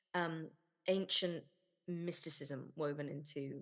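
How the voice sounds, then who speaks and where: In a British accent, a woman speaks at a very deep, low pitch with fairly even intonation. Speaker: podcast host. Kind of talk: casual interview.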